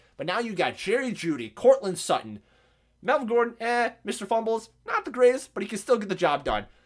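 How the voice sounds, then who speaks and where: In a very clean recording with a silent background, a man speaks at a high pitch and a fairly quick pace. His tone is animated, with very wide pitch swings. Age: 20s. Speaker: podcast host. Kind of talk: solo podcast monologue.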